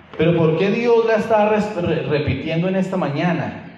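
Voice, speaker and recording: Amid noticeable background noise and audible room echo, a man talks with lively intonation. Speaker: preacher. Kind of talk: sermon.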